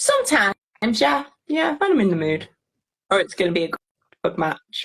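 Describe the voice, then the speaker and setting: At a fairly quick pace, a woman with a medium pitch makes very wide pitch swings, recorded with a dry, close sound and no echo. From Liverpool area, England. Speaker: allotment gardener. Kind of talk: casual chat.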